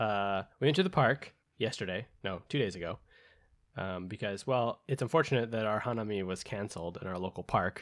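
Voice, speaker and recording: A man with an American accent and an unremarkable speaking voice, fairly low in pitch, at a fairly quick pace. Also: ordinary pitch variation. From United States. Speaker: podcast co-host. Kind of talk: casual chat. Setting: remote call.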